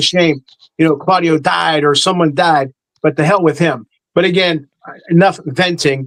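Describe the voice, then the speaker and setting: A high-pitched man with music in the background. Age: 60s. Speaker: sports show panelist. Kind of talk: casual chat. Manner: halting, repetitive.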